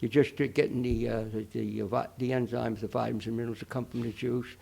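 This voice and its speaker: A man talks very fast at a medium pitch, with vocal fry. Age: 80s+. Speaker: nutrition expert. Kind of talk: interview answer.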